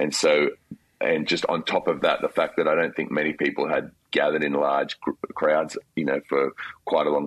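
A man with an Australian accent talks at a fairly quick pace, with a dry, close sound and no echo. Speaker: worship leader. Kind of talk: interview.

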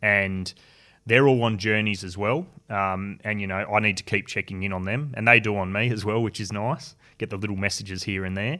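With an Australian accent, a man speaks fairly quickly at a fairly low pitch and with fairly even intonation. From Tasmania, Australia. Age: 30s. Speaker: construction worker and suicide prevention advocate. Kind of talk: interview.

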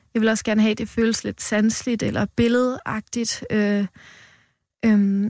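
A woman speaks at a fairly high pitch and a fairly slow pace, in a monotone, flat intonation. The sound is dry and close, with no echo. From Denmark, western Jutland. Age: 20s. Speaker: poet. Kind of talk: poetry reading; interview. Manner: halting.

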